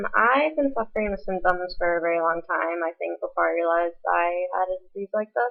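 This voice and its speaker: A woman talks at a moderate pace. There is music in the background. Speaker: Cushing's syndrome patient. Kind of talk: casual vlog talk to camera. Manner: hesitant, many fillers.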